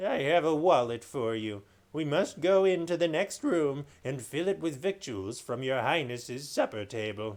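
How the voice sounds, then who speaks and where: A man's put-on character voice, fairly high in pitch, with hardly any pauses. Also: moderate pace. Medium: read story.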